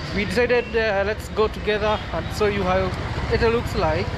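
At a moderate pace, a man talks over loud background noise. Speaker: vlogger. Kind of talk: casual vlog chat. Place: street. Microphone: phone near.

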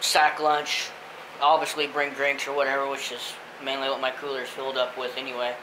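Noticeable background noise accompanies a man speaking at a moderate pace with monotone, flat intonation. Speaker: vlogger on a fishing trip. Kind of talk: casual vlog chat. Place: home room. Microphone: phone near.

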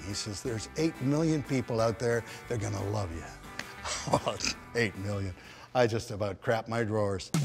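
With clear music in the background, a man speaks at a fairly low pitch with long, frequent pauses. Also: lively intonation, moderate pace. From England, raised in Canada. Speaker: former disc jockey and singer. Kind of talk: interview answer. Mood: animated, humorous storytelling. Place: stage.

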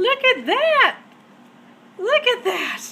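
A woman's raised, projected voice at a fairly slow pace, with ordinary pitch variation and light background noise. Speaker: fan unboxing an album. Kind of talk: casual talk to camera. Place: home room. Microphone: phone near.

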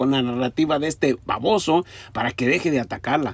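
A man speaks at a moderate pace with a Mexican accent. His tone is animated. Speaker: political commentator. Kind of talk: angry political rant, sarcastic and mocking. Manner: insulting, scornful, repetitive.

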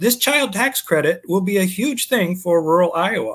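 Against a quiet background, a man talks at a moderate pace with a high pitch and ordinary pitch variation. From US Midwest. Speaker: former state house candidate; candidate. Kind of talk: political interview. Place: home room.

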